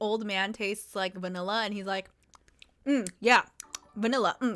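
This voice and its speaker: A loud, bright, sharp voice at a fairly quick pace. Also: woman. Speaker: streamer. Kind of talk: casual chat. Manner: animated.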